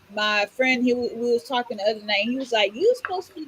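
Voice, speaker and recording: A woman with an American accent speaks in an animated tone at a high pitch, her pitch varying in an ordinary way. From Florida, Orlando. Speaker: podcast co-host. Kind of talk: casual chat.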